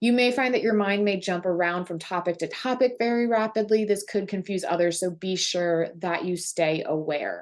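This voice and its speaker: A woman talks with hardly any pauses at a medium pitch. Her pitch varies in an ordinary way against a quiet background. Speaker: astrologer. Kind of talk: monthly horoscope forecast. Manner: fast.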